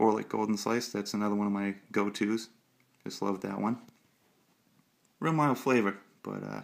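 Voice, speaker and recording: At a fairly low pitch, a man speaks at a moderate pace with fairly even intonation. His speech has long, frequent pauses. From Massachusetts. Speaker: pipe smoking hobbyist vlogger. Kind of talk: casual show-and-tell vlog. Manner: relaxed, many filler 'uh's.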